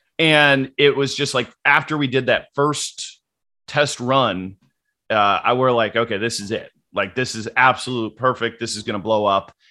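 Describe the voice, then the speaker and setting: A bright, sharp tone at a moderate pace over a quiet background. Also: man, medium pitch for a man, ordinary pitch variation. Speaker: fantasy sports media founder. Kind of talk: casual interview chat.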